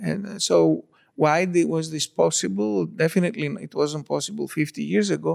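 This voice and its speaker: A man with a Greek accent speaks with big swings in loudness. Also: moderate pace. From Greece (born in Istanbul). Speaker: particle physicist. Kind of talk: interview conversation.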